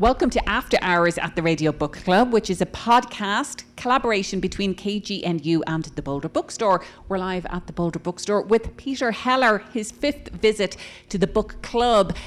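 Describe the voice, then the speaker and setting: A woman speaks in an ordinary speaking voice of medium pitch. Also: moderate pace. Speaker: radio book club host. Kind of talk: audience Q&A. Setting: bookstore event with live audience.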